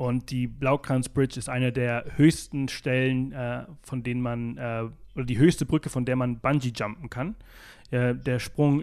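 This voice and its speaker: With a Mallorcan accent, this man talks in a fairly even intonation against a quiet background. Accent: noticeable Mallorcan accent in German. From Mallorca, Spain. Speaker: travel blogger and podcaster, South Africa expert. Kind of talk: interview. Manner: many filler sounds (äh, ähm).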